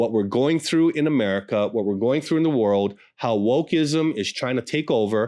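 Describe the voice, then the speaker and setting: Over a very clean recording with a silent background, a man at medium pitch speaks with lively intonation. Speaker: pastor and podcast host. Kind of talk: podcast intro and promo. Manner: fast.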